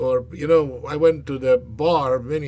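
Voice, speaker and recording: Against noticeable background noise, a man talks at a fairly high pitch. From Yugoslavia. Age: 60s. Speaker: vlogger. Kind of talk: personal monologue vlog. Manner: calm, not screaming; halting, many fillers.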